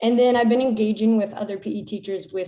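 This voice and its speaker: Audible room echo surrounds a woman with an American accent whose dark, mellow tone holds fairly even intonation. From United States. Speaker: PE teacher. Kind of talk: conference presentation.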